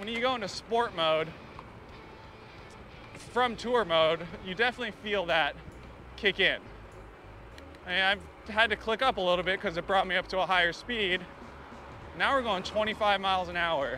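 A man speaks in a raised, projected voice at a moderate pace, with long, frequent pauses. Music plays in the background, and the sound is dry with no echo. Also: ordinary pitch variation. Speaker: bike reviewer. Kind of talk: ride-along product review. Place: bicycle. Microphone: phone near.

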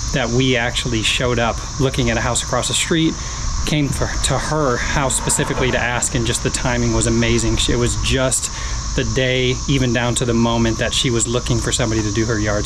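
A man at a fairly quick pace with very even loudness, amid noticeable background noise. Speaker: lawn care channel host. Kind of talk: casual vlog chat. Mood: warm, grateful. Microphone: phone near.

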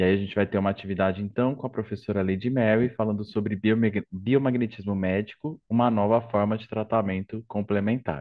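With an unremarkable speaking voice, a man talks at a fairly quick pace with hardly any pauses, his voice fairly low and his intonation fairly even. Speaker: academic coordinator. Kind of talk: event moderation. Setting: video call.

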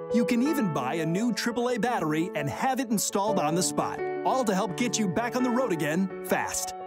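A man is speaking. Music plays in the background. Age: young. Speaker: TV host. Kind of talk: TV commercial read.

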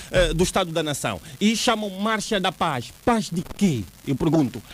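A man's high-pitched, fairly slow speech in a dry sound with no echo. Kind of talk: interview answer. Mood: indignant, critical. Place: studio. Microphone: studio mic.

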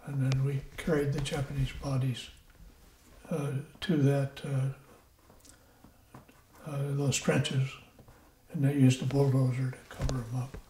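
A man talks in a Midwestern accent with a monotone, flat intonation. His pace is fairly slow, with long, frequent pauses. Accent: American Midwest. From Iowa, USA. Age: 90s. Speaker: WWII Marine veteran. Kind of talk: interview answer.

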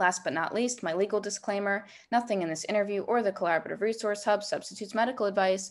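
A woman talking at a fairly quick pace. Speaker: wellness business owner and podcast host. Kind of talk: casual interview. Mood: friendly, upbeat.

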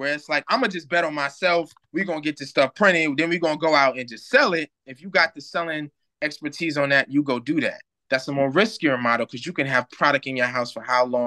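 Bright and sharp in tone, a man talks at a very fast pace with ordinary pitch variation and big swings in loudness against a quiet background. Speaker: remote guest. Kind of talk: interview answer. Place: home room. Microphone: video call.

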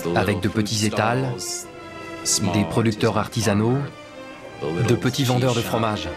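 Clear music plays behind a man speaking at a fairly slow pace. His intonation is fairly even, with long, frequent pauses. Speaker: voice-over artist. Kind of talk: documentary dub voice-over. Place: booth. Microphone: studio mic.

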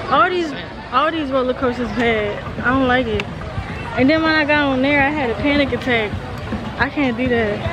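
Clear music plays behind a woman speaking at a moderate pace. Her pitch varies in an ordinary way, and the sound is dry with no echo. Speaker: vlogger. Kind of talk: casual vlog chat. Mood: animated, laughing complaint. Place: street. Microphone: phone near.

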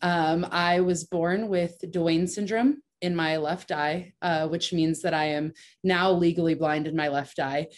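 A woman with a fairly low pitch and an ordinary speaking voice talks at a fairly slow pace with fairly even intonation and hardly any pauses. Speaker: professional softball pitcher. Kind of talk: panel discussion. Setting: video call.

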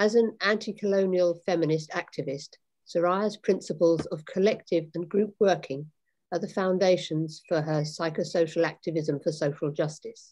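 Against a quiet background, a woman speaks at a moderate pace in a dark, mellow tone. Her pitch is fairly low and her intonation fairly even. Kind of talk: speaker introduction. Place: home room. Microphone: video call.

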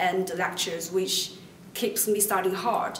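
A woman with a Chinese accent speaks amid light background noise and audible room echo. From China. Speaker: university student. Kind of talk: promotional testimonial interview. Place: classroom.

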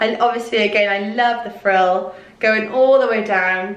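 A woman talks in a fairly high voice with ordinary pitch variation. Room echo is audible. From Wales. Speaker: fashion YouTuber. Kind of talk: clothing haul vlog. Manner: excitable. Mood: upbeat, friendly. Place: home room.

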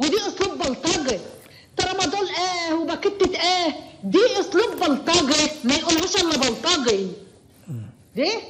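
Speaking at a very slow pace with long, frequent pauses, a woman with an Egyptian accent uses an extremely high pitch and lively intonation over noticeable background noise. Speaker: caller. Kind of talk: phone-in commentary. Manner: emotional.

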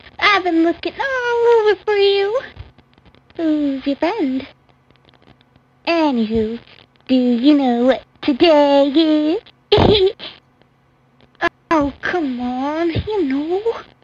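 This cartoonish character voice sits at a high pitch and moves at a very slow pace, broken by long, frequent pauses. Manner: sarcastic, dismissive.

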